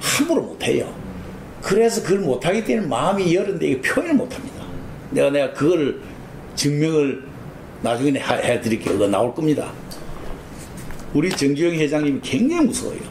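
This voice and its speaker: Over noticeable background noise, a man speaks at a fairly quick pace in a fairly high voice with very wide pitch swings, very even loudness, and long, frequent pauses. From rural Korea. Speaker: oral history interviewee, former associate of a business leader. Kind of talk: oral history interview. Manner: conversational, rambling with fillers.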